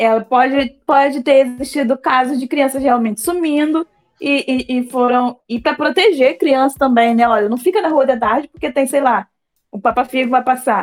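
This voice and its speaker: A woman with a high-pitched voice talks at a moderate pace with ordinary pitch variation. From Brazil, Queimados, Rio de Janeiro state. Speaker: fiction writer. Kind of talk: casual interview.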